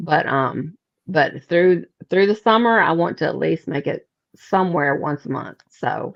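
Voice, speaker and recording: A woman with a Mississippi accent speaks at a fairly slow pace in a fairly low pitch with vocal fry. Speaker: paranormal investigator. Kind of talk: casual chat.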